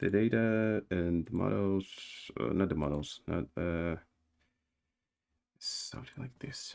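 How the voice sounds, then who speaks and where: With a non-native accent, the speaker talks at a very slow pace with lively intonation and long, frequent pauses. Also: man. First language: not English. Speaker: game developer streamer. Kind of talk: live coding stream. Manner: halting, many fillers and repetitions.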